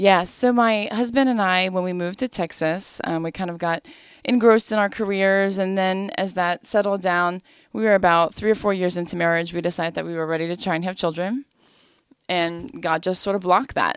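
A woman with an American accent talks at a fairly quick pace in a normal speaking voice. Her pitch is medium, with ordinary pitch variation. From US Midwest. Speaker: adoptive mother and pharmacist. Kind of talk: interview. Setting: studio.

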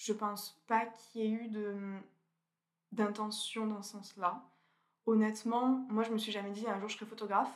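A woman with a fairly high pitch speaks at a moderate pace in a monotone, flat intonation, with big swings in loudness, long, frequent pauses and audible room echo. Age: 20s. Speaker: food photographer. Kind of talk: interview.

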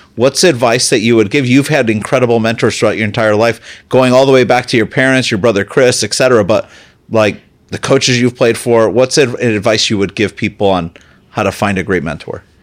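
A man with a plain, everyday voice talks at a fairly quick pace in a medium pitch with ordinary pitch variation. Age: 30s. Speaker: podcast host, CEO. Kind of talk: interview.

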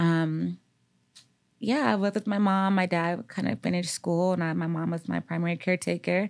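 A woman with an American accent and an unremarkable speaking voice talks at a fairly quick pace. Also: fairly low pitch for a woman, ordinary pitch variation. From US Midwest, Gary, Indiana. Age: 30s. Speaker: therapist. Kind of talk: casual chat.

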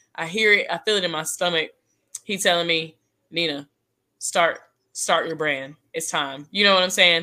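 Speaking in an American accent, a woman uses a fairly low pitch, a bright, sharp tone and fairly even intonation. Her pace is moderate with long, frequent pauses, and the recording is very clean with a silent background. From Texas. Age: 20s. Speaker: professional dancer and choreographer. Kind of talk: casual interview.

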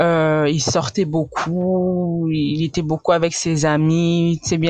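Very deep, low female speech with fairly even intonation. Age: 20s. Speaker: pastor's daughter, churchgoer. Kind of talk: testimony.

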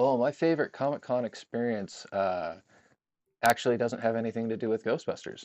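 A man speaks at a medium pitch with ordinary pitch variation. It is a plain, everyday voice. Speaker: car owner and fan club member. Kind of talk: casual chat.

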